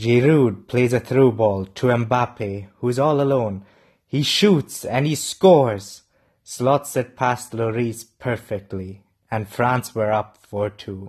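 Somewhat breathy and at medium pitch, a man talks at a very slow pace against a quiet background. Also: ordinary pitch variation. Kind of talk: post-match recap and opinion analysis, not live commentary. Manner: opinionated, assertive when criticising coaches.

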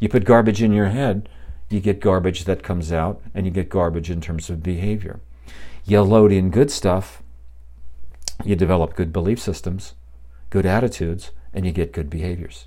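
A man speaks in a very deep, low voice with a dark, mellow tone and vocal fry. His intonation is lively, broken by long, frequent pauses. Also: moderate pace. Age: 60s. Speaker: podcast host. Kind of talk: casual solo monologue. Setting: home podcast setup, live. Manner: relaxed, with filler words.

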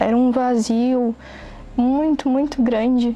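Over noticeable background noise, a woman speaks in a high pitch with flat, monotone intonation. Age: 20s. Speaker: photographer giving a religious testimony. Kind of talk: testimony.

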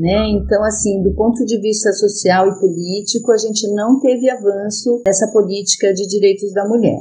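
The intonation is monotone and flat, at a moderate pace. There are hardly any pauses. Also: woman, medium pitch for a woman. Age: 50s. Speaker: psychologist. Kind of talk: interview.

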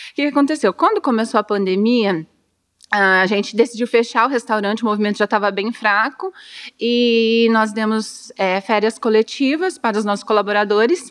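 At a moderate pace, a woman with an ordinary speaking voice talks in a fairly high pitch with ordinary pitch variation. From Brazil, Dourados (Mato Grosso do Sul). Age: 30s. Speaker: therapist and restaurant owner. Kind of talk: interview.

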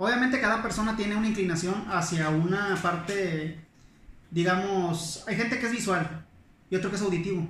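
Audible room echo surrounds a man speaking at a high pitch in a northern Mexican accent. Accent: northern Mexican, noticeable. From northern Mexico, Monclova, Coahuila. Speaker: historian. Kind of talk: casual interview chat. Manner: fast.

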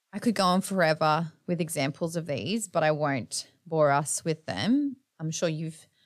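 With an Australian accent, the speaker moves at a moderate pace using lively intonation. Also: woman, very clean recording, silent background. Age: 30s. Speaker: podcast host. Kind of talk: casual monologue. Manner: animated.

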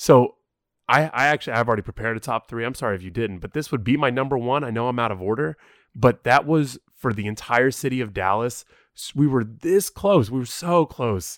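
Here a man has an ordinary speaking voice, talking at medium pitch and a fairly quick pace with lively intonation. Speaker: podcast co-host. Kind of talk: casual chat.

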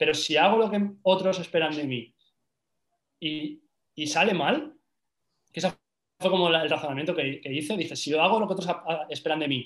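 Though his pace is fairly quick, a man pauses long and often, with ordinary pitch variation. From Spain, Valencia. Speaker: social media marketing entrepreneur. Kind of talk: casual interview.

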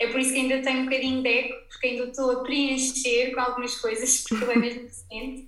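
Against noticeable background noise, a woman speaks very fast in a high, monotone, flat voice with hardly any pauses. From Portugal, Algarve. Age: 20s. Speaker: ceramics brand owner. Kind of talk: interview. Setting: her studio, remote recording.

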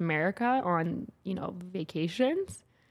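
Here is a plain, everyday voice from a woman with a Canadian accent. Her pitch sits in the medium range with ordinary variation. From Alberta, Canada (St. Albert). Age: 20s. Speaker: fashion and commercial model. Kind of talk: casual interview.

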